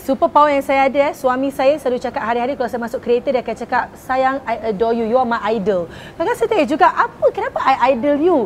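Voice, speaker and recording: Very fast and high-pitched, a woman speaks with lively intonation over noticeable background noise. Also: hardly any pauses. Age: 30s. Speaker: bakery business owner. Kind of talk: interview testimony. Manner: casual with English code-switching.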